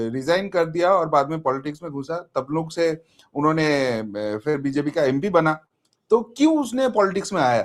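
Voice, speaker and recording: A man is speaking, and his intonation is lively. He pitches his voice high. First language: Bengali (speaking Hindi). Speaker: political commentator. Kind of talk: interview.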